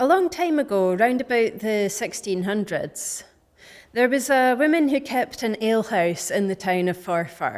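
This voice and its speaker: A woman's fairly high voice at a fairly slow pace, with very wide pitch swings, in a very clean recording with a silent background. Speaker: storyteller. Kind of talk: folk tale storytelling. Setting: live venue.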